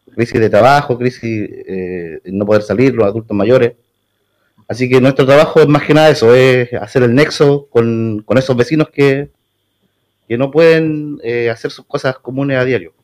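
This man talks at a moderate pace and medium pitch, with ordinary pitch variation. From Puerto Varas, southern Chile. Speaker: neighbourhood community leader. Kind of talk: radio interview. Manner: halting.

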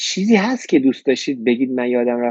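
Very fast speech from a man with fairly even intonation. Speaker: live show host, interviewer. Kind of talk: interview, casual chat.

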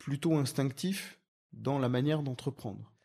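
In a very clean recording with a silent background, a man speaks in a fairly high-pitched voice with a dark, mellow tone. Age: 40s. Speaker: entrepreneur. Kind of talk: interview.

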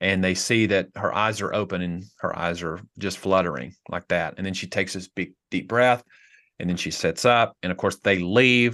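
Against a quiet background, a man with a Tennessee accent speaks at a very deep, low pitch and a moderate pace, his tone bright and sharp, with ordinary pitch variation. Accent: Southern US (Tennessee). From US South, rural Tennessee. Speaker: pastor. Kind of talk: casual chat.

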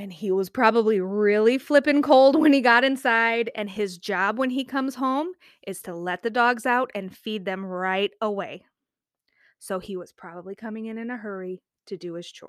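A woman in a plain, everyday voice, fairly high in pitch with ordinary pitch variation and big swings in loudness, at a moderate pace on a very clean recording with a silent background. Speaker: podcast co-host. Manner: warm, affirming.

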